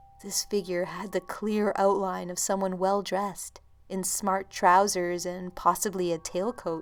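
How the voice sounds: This is a natural reading voice. It reads the lines straight through.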